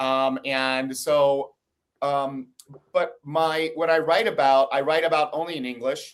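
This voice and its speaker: A man with an American accent has a normal speaking voice at a fairly high pitch. His pace is fairly slow and his intonation fairly even. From United States. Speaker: investigative journalist. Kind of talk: interview.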